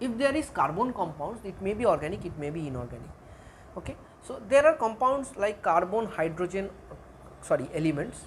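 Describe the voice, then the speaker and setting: There is audible room echo around this woman's voice. She sounds somewhat breathy and makes very wide pitch swings. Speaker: chemistry teacher. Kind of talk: lecture.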